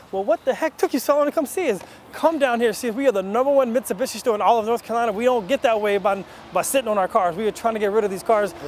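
Upbeat in tone, a man speaks at a very fast pace with an extremely high pitch and ordinary pitch variation. The sound is dry with no echo, over light background noise. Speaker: car dealership host. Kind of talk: infomercial pitch, hard-sell dealership ad. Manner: fast, upbeat, salesy, repeats 'guys' constantly. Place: street.

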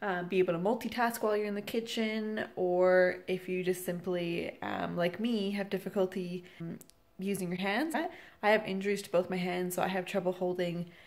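A woman speaks with fairly even intonation at a moderate pace. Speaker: home cooking vlogger. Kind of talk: casual tutorial intro. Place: kitchen. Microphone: phone near.

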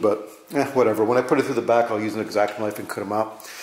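A man speaks at a very fast pace, with audible room echo around him. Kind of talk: casual tutorial vlog. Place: garage.

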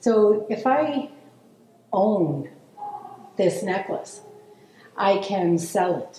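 Light background noise and audible room echo surround a woman's speech. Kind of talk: formal land welcome speech. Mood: calm, measured. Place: studio.

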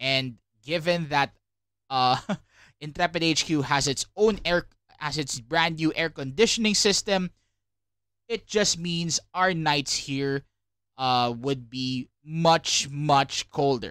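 On a very clean recording with a silent background and a dry, close sound with no echo, a man speaks very slowly with long, frequent pauses, a bright, sharp tone, a fairly high pitch and ordinary pitch variation. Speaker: independent media podcaster. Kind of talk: solo podcast monologue, partly scripted. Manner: hesitant with many fillers.

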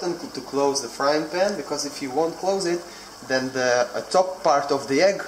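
Amid light background noise and audible room echo, a man speaks at a moderate pace with ordinary pitch variation. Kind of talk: tutorial. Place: kitchen. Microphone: phone near.

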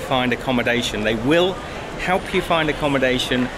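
The speech comes at a moderate pace. Noticeable background noise is present. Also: man. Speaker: travel vlogger. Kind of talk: casual vlog chat. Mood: frustrated, indignant. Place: station. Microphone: phone near.

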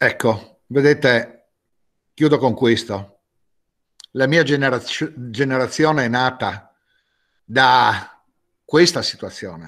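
A man talks at a very slow pace, leaving long, frequent pauses. His pitch varies in an ordinary way. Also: quiet background. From Trieste, Italy; Italy. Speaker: director of a cultural institute on exile history; council speaker. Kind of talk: commemorative speech. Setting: video call. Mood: grave, solemn. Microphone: video call.

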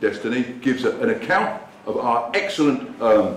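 The speech moves at a moderate pace over light background noise. Room echo is audible. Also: man. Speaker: speaker. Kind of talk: speech to a meeting. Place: hall. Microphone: camera far.

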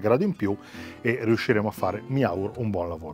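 A man speaks at a fairly quick pace and a fairly low pitch. The sound is dry with no echo, and faint music plays in the background. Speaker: barbecue cooking vlogger. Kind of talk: tutorial. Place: garden.

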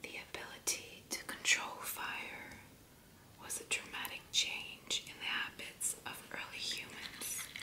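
The speaker whispers at a fairly slow pace. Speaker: ASMR creator. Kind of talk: ASMR fact reading. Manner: soft whispering. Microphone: studio mic.

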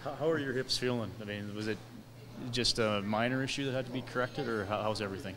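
Noticeable background noise sits behind a man talking at a very fast pace. His intonation stays fairly even. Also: medium pitch for a man. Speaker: sports interviewer. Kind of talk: interview. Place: hall. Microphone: handheld.

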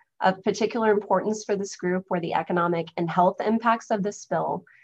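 A woman speaks in an ordinary speaking voice, at a fairly quick pace, with fairly even intonation. The background is quiet. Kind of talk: lecture. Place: home room. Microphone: webcam.

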